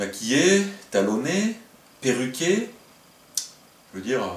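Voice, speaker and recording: Lively intonation marks this man's speech. There is noticeable background noise and audible room echo. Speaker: video blogger, crossdresser. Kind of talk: comedic top-ten monologue. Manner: animated.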